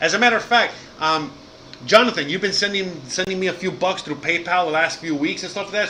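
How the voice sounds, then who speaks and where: Against noticeable background noise, a man speaks very fast in an animated tone. His voice is high with ordinary pitch variation. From Miami, Cuban-American family. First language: Spanish. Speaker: live streamer, podcaster, former chef. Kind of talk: live stream casual chat. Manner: animated, casual, many fillers.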